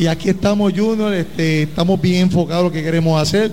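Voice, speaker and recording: Noticeable background noise runs behind a man with a high pitch. He talks at a fairly quick pace with fairly even intonation. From Puerto Rico, Ponce. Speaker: team owner, schoolteacher. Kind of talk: welcome speech.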